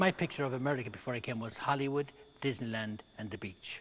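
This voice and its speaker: A man talks at a fairly quick pace in an Irish accent. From rural Ireland. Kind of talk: interview.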